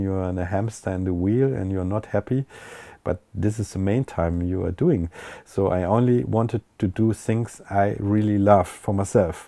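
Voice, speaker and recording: In a German accent, a man with a fairly low pitch and a dark, mellow tone speaks with fairly even intonation, the sound dry and close with no echo against a quiet background. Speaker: techno DJ and producer. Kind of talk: interview. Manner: halting.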